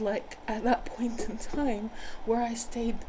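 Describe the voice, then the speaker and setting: A woman with an American accent has a fairly high pitch and fairly even intonation. Audible room echo surrounds her voice. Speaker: spiritual healer. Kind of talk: personal storytelling monologue. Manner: hesitant, with fillers and repetitions.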